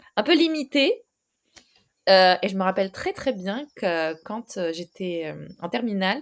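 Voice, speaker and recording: Very wide pitch swings mark a woman's medium-pitched voice with a slight Moroccan accent. She speaks at a very slow pace in a very clean recording with a silent background. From Morocco. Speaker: ADHD consultant. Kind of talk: podcast interview. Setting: recorded podcast. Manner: hesitant, many fillers.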